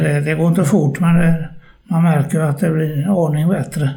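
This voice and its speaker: A man speaks at a moderate pace and fairly high pitch with fairly even intonation. Noticeable background noise and audible room echo surround him. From Gothenburg, Sweden (Hisingen). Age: 80s+. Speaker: care home resident. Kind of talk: casual interview. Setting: short-term care home. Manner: halting.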